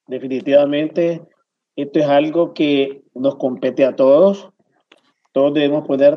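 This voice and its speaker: A man's fairly high voice at a very slow pace. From Nicaragua. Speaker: pediatrician. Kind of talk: panel discussion.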